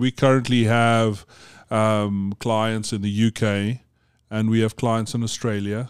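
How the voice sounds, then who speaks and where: A man's medium-pitched voice at a fairly slow pace, on a very clean recording with a silent background. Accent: South African. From South Africa (Johannesburg). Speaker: business executive. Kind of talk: casual interview. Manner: halting, many repetitions.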